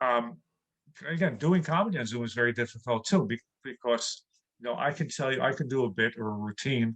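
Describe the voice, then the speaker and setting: With a New York accent, a man talks at a fairly quick pace and medium pitch, his intonation lively and the sound dry and close with no echo. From New York City. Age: 60s. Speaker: comedian. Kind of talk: interview.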